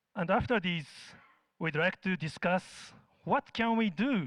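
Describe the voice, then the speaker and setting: Moderate-paced speech in a Japanese accent over a quiet background. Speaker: researcher presenting survey data. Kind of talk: conference presentation.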